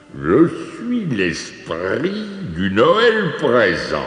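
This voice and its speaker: A man uses a put-on character voice, raised and projected, in a high pitch. He goes at a very slow pace, with clear echo around him. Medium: read story. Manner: warm, assured.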